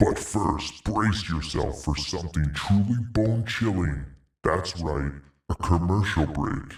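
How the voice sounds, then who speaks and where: Using a put-on character voice, a man speaks very deep and low at a fairly slow pace. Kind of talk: spooky show introduction.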